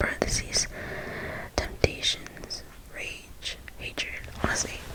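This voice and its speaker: A woman whispers very slowly while noticeable noise sounds in the background. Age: 20s. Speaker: ASMR creator. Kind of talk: whispered ASMR Q&A talk to camera. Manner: whispered, soft-spoken.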